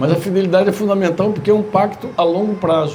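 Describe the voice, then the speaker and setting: A man speaks at a moderate pace. Both audible room echo and noticeable background noise come through. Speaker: pastor. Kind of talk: sermon. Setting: church retreat gathering.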